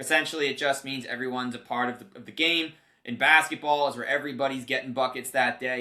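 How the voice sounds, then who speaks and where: Speaking very fast with an American accent, this man has a medium pitch. His tone is bright and sharp. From New Jersey. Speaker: play-by-play commentator and podcast host. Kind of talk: casual interview chat. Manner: animated.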